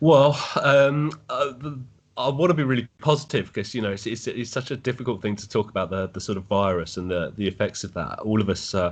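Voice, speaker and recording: A man with an English accent speaks at a medium pitch. His pace is fairly quick. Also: lively intonation. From England. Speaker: football fan. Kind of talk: podcast interview.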